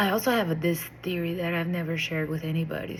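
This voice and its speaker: In a Portuguese accent, a woman speaks at a fairly low pitch with a somewhat breathy quality. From Brazil. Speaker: vlogger. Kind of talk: casual monologue to camera. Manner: hesitant, with fillers and restarts.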